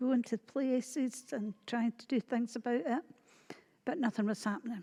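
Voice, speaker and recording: A woman speaks in a Scottish accent with a high pitch and a dark, mellow tone. Her intonation stays fairly even at a fairly slow pace. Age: 60s. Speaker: church member. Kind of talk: testimony.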